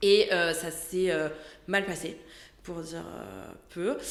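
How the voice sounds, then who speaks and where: With a slight southern French accent, a woman talks at a very slow pace against noticeable background noise and audible room echo. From southern France. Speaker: lawyer. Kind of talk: podcast interview.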